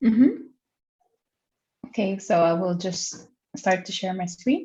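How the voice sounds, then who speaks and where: A woman talks at medium pitch in a dark, mellow, somewhat breathy tone. Her intonation is lively. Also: fairly slow pace. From Philippines, Manila. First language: Tagalog. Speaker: interviewee explaining her language and culture. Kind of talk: casual explanatory interview.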